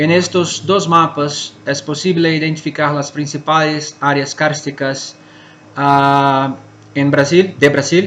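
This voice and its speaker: A man with a Portuguese accent, a fairly high pitch and monotone, flat intonation at a very slow pace. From Brazil, Minas Gerais. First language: Portuguese (speaking Spanish). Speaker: cave scientist, conference speaker. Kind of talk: conference talk. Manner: halting.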